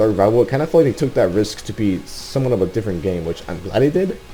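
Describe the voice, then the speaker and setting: With music in the background, a man talks very fast in a fairly low voice, his intonation lively. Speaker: gaming YouTuber. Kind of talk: casual video commentary. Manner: halting, many repetitions; rushed.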